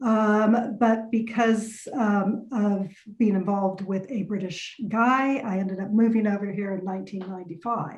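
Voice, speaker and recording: A woman speaks with an American accent at a moderate pace. Her voice is somewhat breathy, with hardly any pauses. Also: medium pitch for a woman, fairly even intonation. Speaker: lawyer. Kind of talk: podcast interview. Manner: hesitant fillers.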